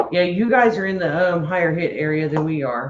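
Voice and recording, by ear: In a Louisiana accent, a woman with a fairly low pitch and a slightly mellow tone speaks at a fairly slow pace with ordinary pitch variation. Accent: Cajun Louisiana.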